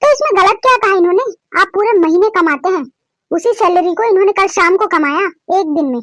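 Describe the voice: Doing a cartoonish character voice, a woman speaks at an extremely high pitch and a fairly quick pace with lively intonation, the sound dry and close with no echo.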